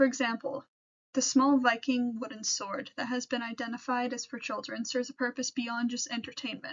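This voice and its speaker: A woman with an American accent speaks at a fairly quick pace in a high pitch. Her intonation is flat and monotone. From US Pacific Northwest, Seattle. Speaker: history student intern. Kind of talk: presentation. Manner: scripted, reading from notes.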